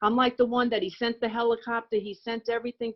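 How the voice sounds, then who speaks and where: Flat, monotone intonation at a fairly quick pace, in an American accent. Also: woman. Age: 60s. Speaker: recovering alcoholic speaker. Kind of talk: testimony.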